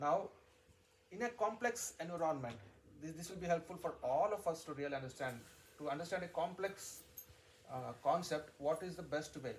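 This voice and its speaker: With a Telugu accent, a high-pitched man talks at a moderate pace using lively intonation and long, frequent pauses. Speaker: spiritual teacher. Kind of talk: religious discourse. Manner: repetitive, halting restarts.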